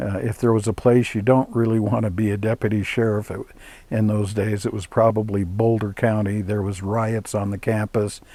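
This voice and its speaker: With an American accent, a man speaks at a fairly low pitch in a dark, mellow tone and a monotone, flat intonation. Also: moderate pace. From Colorado. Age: 70s. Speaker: spiritual teacher. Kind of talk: personal life story. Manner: hesitant fillers.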